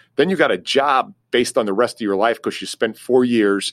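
Recorded very cleanly with a silent background and a dry, close sound with no echo, a man speaks in a normal speaking voice at a medium pitch and a moderate pace. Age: 50s. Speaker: career advisor. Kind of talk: interview.

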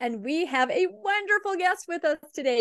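A woman speaks at a fairly slow pace in a raised, projected voice, her tone bright and sharp, the sound dry and close with no echo. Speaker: podcast co-host. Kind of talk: interview conversation.

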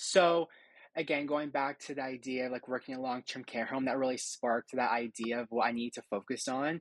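A man with a Canadian accent and an unremarkable speaking voice, medium-pitched and fairly quick, his intonation fairly even, the sound dry and close with no echo over a quiet background. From Ontario, Hamilton. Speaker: graduate student. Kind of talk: interview.

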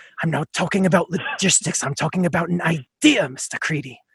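A man puts on a character voice pitched high, recorded with a dry, close sound and no echo. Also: fairly quick pace, ordinary pitch variation. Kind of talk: formal, grandiose. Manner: theatrical, dramatic.

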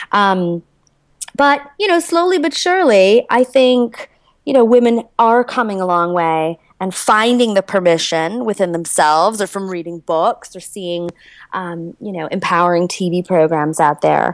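A woman with an American accent and an unremarkable speaking voice, medium in pitch, lively in intonation, at a fairly slow pace. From US Midwest, Chicago. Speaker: entrepreneur and intimacy coach. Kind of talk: interview.

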